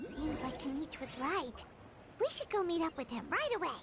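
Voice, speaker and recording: Over clear background noise, a put-on character voice with a high pitch moves at a moderate pace. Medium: game stream. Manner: excitable, expressive.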